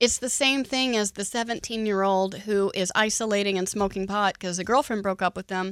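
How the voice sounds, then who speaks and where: An ordinary speaking voice at a fairly quick pace with hardly any pauses and fairly even intonation, in a very clean recording with a silent background and dry, close sound with no echo. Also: woman, medium pitch for a woman. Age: 40s. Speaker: radio host. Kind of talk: radio show conversation. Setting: studio.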